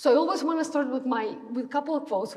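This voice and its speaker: A woman talking very fast with lively intonation, amid noticeable background noise and audible room echo. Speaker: orthopedic bone researcher. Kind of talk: lecture. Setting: lecture room with audience. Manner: halting, many fillers and restarts.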